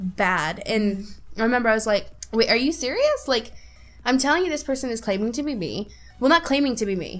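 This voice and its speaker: A woman's fairly quick speech with lively intonation, music in the background. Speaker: podcast co-host; stage actor. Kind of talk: casual chat. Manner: animated.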